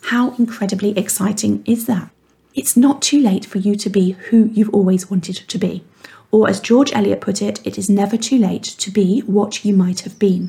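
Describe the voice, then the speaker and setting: The voice has a dark, mellow tone and vocal fry, moving at a moderate pace with fairly even intonation. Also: woman, medium pitch for a woman. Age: 40s. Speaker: weight mindset coach and podcast host. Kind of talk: monologue podcast, motivational coaching talk.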